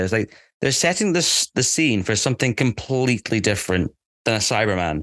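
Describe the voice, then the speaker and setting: Against a quiet background, a man with a Scottish accent speaks at a medium pitch and moderate pace, with a dry, close sound with no echo. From Scotland. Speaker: podcast co-host. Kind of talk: casual chat.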